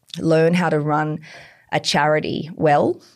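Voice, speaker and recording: The speaker has an Australian accent and a fairly slow pace. The recording is very clean, with a silent background. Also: woman. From tropical far north Queensland, Australia. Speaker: chief operating officer of a climate technology company. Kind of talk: interview.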